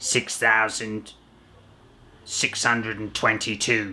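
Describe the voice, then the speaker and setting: A man puts on a raspy character voice at a medium pitch. He talks at a fairly slow pace with monotone, flat intonation. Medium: read story. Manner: cold, dismissive.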